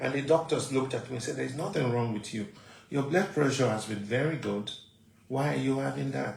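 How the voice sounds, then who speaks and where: Fairly quick, medium-pitched male speech with ordinary pitch variation, set in audible room echo. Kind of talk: testimony.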